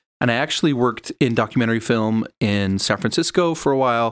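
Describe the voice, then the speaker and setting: In a Utah accent, a man speaks at a fairly quick pace with a medium pitch. The recording is very clean, with a silent background. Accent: American, Utah. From Utah (Sandy). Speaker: comic book creator and filmmaker. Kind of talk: casual interview.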